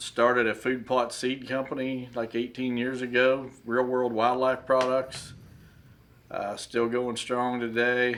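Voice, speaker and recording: In a monotone, flat delivery, a man talks at a fairly slow pace. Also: medium pitch for a man. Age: 60s. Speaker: deer hunting consultant. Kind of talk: podcast interview. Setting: at his desk, remote call.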